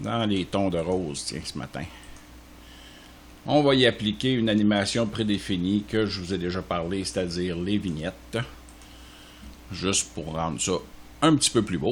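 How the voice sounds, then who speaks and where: A man with a Quebec accent speaks in a very deep, low pitch with vocal fry. His pace is fairly slow, broken by long, frequent pauses. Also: lively intonation. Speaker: software tutorial creator. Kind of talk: tutorial. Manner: casual, with frequent hesitations.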